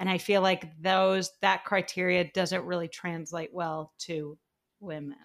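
A woman with a normal speaking voice, fairly even intonation, and a fairly slow pace. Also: fairly low pitch for a woman. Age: 20s. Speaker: author and TV writer. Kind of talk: casual chat. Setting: video call.

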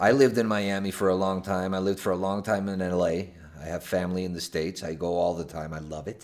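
A man with a Spanish accent talks at a very fast pace in a very deep, low pitch. His intonation stays fairly even, and the recording is very clean with a silent background. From Venezuela, Caracas. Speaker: podcast host. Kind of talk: casual chat. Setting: hotel room.

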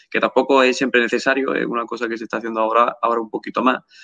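A man's medium-pitched voice, bright and sharp in tone, with fairly even intonation and a dry, close sound with no echo. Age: 20s. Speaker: YouTube channel host. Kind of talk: live-stream interview.

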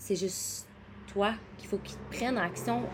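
Very slow speech comes from a woman. Her pitch is medium, with ordinary pitch variation. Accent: Quebec. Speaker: podcast host, wellness coach. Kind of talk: casual solo podcast monologue.

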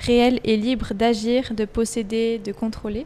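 A woman's fairly high voice, monotone and flat, at a very slow pace over noticeable background noise. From Switzerland. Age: 20s. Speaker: university student. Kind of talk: casual chat.

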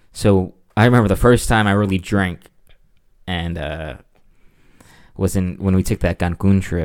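On a very clean recording with a silent background, the speech has ordinary pitch variation, a moderate pace, and long, frequent pauses. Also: man. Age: 20s. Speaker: podcast co-host, student. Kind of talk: casual chat.

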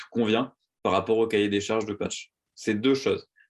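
In a very clean recording with a silent background, a man talks at a fairly quick pace, his medium pitch showing ordinary variation. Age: 20s. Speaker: startup co-founder. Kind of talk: interview conversation. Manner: halting, many repeated words and fillers.

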